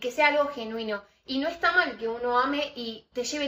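Bright, sharp tone from a woman, high in pitch, with ordinary pitch variation at a moderate pace. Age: 20s. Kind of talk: casual faith conversation.

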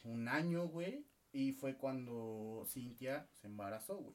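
In a Mexican accent, a man talks at a very slow pace with a medium pitch and ordinary pitch variation. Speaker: podcast co-host. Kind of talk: casual chat.

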